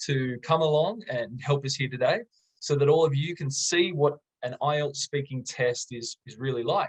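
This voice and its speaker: An enthusiastic, somewhat breathy man at a fairly high pitch and moderate pace, with ordinary pitch variation and a dry, close sound with no echo. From Australia. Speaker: English teacher. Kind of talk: tutorial. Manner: moderate exam-style pace.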